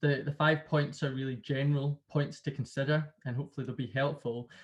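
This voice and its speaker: Against a quiet background, a man with a Glasgow accent sounds somewhat breathy at a fairly high pitch. He goes at a fairly quick pace with a monotone, flat intonation. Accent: Glasgow, Scottish. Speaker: sales consultant. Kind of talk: webinar presentation. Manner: repetitive fillers.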